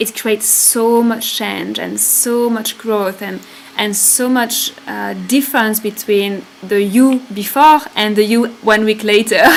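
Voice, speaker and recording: Speaking very slowly in a French accent, a woman with a fairly high pitch keeps her intonation fairly even over noticeable background noise. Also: hardly any pauses. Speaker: spiritual retreat leader. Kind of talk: live stream talk. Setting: live stream. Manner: halting.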